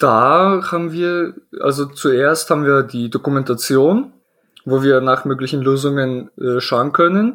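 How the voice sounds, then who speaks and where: Speaking at a fairly slow pace, a man uses an unremarkable speaking voice, fairly high in pitch, with ordinary pitch variation. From Poland, then Germany from age 11. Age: 20s. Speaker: IT system engineer. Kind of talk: casual interview.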